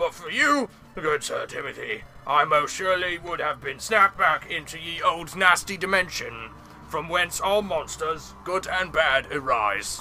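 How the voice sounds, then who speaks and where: Over clear background noise, a man does a put-on character voice at a high pitch and a moderate pace. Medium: read story. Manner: folksy, chatty.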